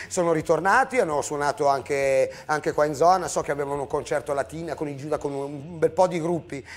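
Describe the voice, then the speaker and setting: A man rattles along at a very fast pace, his pitch varying in an ordinary way. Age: 50s. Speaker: punk band musician; TV show host. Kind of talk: casual chat. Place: studio.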